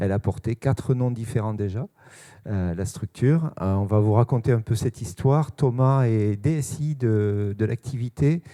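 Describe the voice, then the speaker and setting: A man's dark, mellow voice in a Toulouse accent, medium-pitched with ordinary pitch variation and a fairly slow pace, dry and close with no echo on a very clean recording over a silent background. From Toulouse, southern France. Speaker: sales manager. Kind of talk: conference talk. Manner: hesitant, many fillers.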